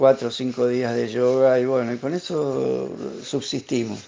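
A man speaks with an Argentine accent. His dark, mellow tone sits at a medium pitch. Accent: Rioplatense Argentine Spanish. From Argentina, La Plata. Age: 60s. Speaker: sailor living aboard a historic schooner. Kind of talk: casual interview. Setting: remote call from a boat.

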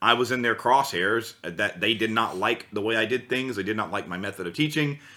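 With an American accent and a normal speaking voice, a man speaks fairly quickly at medium pitch in a very clean recording with a silent background. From US South. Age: 30s. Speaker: vocal coach. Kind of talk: casual chat.

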